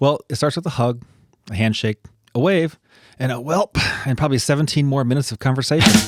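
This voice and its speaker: Music plays behind a man with a Minnesotan accent, a fairly high pitch and ordinary pitch variation, the sound dry and close with no echo. He talks at a very fast pace with long, frequent pauses. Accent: Minnesota. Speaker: podcast co-host. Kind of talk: casual chat.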